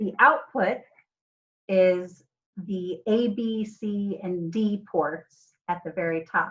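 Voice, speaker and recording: Very slowly and somewhat breathily, a woman speaks at medium pitch with ordinary pitch variation. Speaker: robotics teacher. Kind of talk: online class lecture. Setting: video call.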